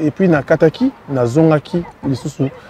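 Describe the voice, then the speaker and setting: A man talks at a moderate pace, with a fairly high pitch and ordinary pitch variation. Crowd noise sits in the background, and the sound is dry with no echo. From DR Congo. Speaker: singer; guest. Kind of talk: interview. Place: street.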